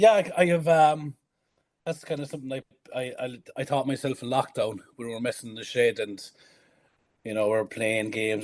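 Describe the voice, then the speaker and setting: Against a quiet background, a man with an Irish accent talks at a moderate pace with lively intonation. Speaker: strongman athlete. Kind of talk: casual chat.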